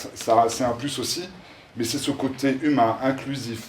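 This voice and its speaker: This man talks at a fairly slow pace, his medium-pitched voice carrying fairly even intonation. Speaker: social entrepreneur presenting his project. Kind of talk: public presentation. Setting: event in front of an audience, no microphone. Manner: loud.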